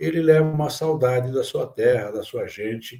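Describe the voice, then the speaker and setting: This man's voice is somewhat breathy. The recording is very clean, with a silent background. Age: 70s. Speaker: writer and editor. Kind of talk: interview conversation. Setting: podcast.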